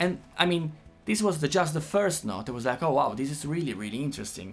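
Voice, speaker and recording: With an Italian accent and lively intonation, the speaker races along at a very fast pace as music plays in the background. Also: man, fairly high pitch for a man. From Italy. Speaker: guitar teacher. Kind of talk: tutorial. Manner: halting.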